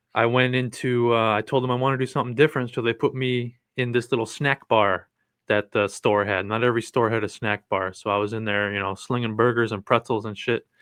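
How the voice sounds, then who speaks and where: At a fairly quick pace, a man with an American accent speaks at medium pitch with fairly even intonation. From Cleveland, Ohio, US Midwest. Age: 30s. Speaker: mushroom content creator and truck driver. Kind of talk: casual interview.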